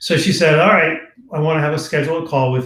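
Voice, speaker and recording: Some room echo is audible as a man with an American accent speaks with ordinary pitch variation. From New York, Long Island. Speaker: author and former corporate executive. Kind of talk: casual interview chat. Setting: live stream video call.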